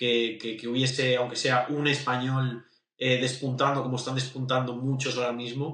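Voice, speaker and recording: A man speaks at a medium pitch and moderate pace. His intonation is flat and monotone. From Spain. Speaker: independent singer. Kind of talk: interview. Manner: halting, many repeated words.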